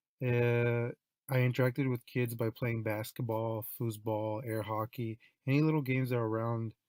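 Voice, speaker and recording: A monotone, flat delivery at a moderate pace, dry and close with no echo. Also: man. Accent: American. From Santa Cruz, California. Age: 20s. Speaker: university student. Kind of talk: class presentation, personal report.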